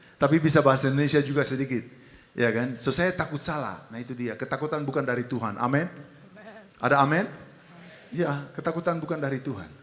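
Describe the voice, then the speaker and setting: A fairly high-pitched man with a Dutch accent, at a fairly quick pace. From Netherlands. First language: Dutch (speaking Indonesian). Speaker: pastor. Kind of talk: sermon. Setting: church.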